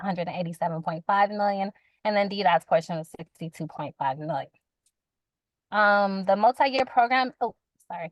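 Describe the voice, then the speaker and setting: This woman's voice sits at a medium pitch with ordinary pitch variation. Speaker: utility communications representative. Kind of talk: public meeting presentation. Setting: hybrid community meeting. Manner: indistinct.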